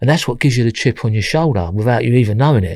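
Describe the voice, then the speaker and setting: A man with a Cockney accent on a very clean recording with a silent background. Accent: East London Cockney. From London East End. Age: 60s. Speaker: former armed robber. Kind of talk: interview.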